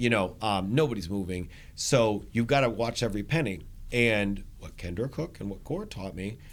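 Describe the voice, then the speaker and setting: Here is an ordinary speaking voice, a man with fairly low pitch and ordinary pitch variation. He keeps a moderate pace. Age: 40s. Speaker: real estate broker and coach. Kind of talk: podcast interview.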